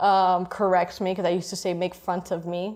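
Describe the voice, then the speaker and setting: A woman talks in a monotone, flat way at a moderate pace with a Miami accent. Her pitch is medium, and the recording is very clean with a silent background. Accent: Cuban-American Miami. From Miami, Florida (Cuban-American). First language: Spanish. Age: 20s. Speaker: interviewee sharing life story. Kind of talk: interview. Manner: casual, filler-heavy.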